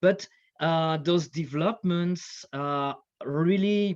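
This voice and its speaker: This man has a French accent and a high pitch. His intonation is lively and his pace fairly slow. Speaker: military history scholar and lecturer. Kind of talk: conference panel talk. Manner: hesitant, many fillers.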